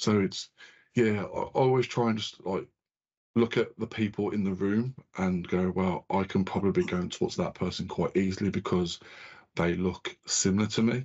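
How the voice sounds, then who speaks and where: This man has an ordinary speaking voice, fairly low in pitch with ordinary pitch variation, at a moderate pace. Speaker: podcast host. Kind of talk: casual podcast conversation.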